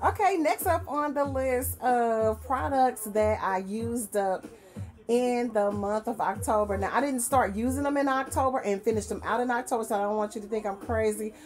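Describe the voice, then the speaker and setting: The speaker talks at a moderate pace over faint background music. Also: woman. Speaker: beauty vlogger. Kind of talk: casual vlog chat. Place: home room. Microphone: webcam.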